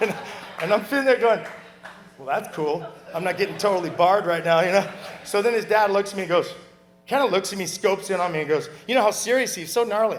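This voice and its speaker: A man with an American accent speaks very fast in a high voice with ordinary pitch variation, leaving long, frequent pauses. Background noise is noticeable. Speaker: surfer giving a memorial tribute. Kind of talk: memorial speech. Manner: fast, kinetic; animated.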